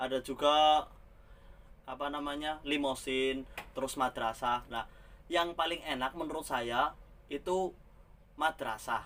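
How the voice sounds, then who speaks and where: A man talks at a fairly slow pace in a fairly high voice, leaving long, frequent pauses. His intonation stays fairly even. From Central Java, Ngapak region (Tegal). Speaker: migrant bus driver, vlogger. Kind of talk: casual vlog monologue.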